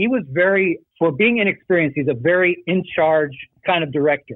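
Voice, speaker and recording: This man has a normal speaking voice, talks at a fairly quick pace, and shows ordinary pitch variation. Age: 60s. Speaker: actor. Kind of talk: interview.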